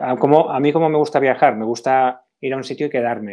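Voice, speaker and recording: A man is speaking at medium pitch. His pitch variation is ordinary. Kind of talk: casual chat. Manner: reflective, halting.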